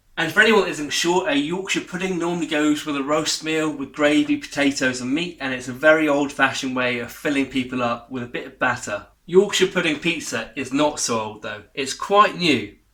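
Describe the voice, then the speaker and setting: A man with an English accent speaks at a fairly high pitch with hardly any pauses and big swings in loudness. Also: ordinary pitch variation, fairly quick pace. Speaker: cooking channel host. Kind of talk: cooking tutorial. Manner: chatty, jokey.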